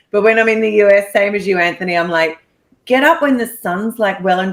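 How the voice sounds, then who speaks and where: A woman at medium pitch with an Australian accent. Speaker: real estate investor. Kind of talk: podcast interview.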